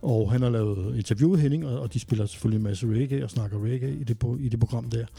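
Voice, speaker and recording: A man speaks at a very fast pace with a medium pitch and ordinary pitch variation. Music plays in the background. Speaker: podcast co-host. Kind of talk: casual chat.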